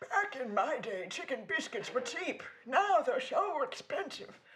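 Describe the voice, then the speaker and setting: A put-on character voice, high-pitched, with very wide pitch swings and a moderate pace. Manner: grumbling, complaining.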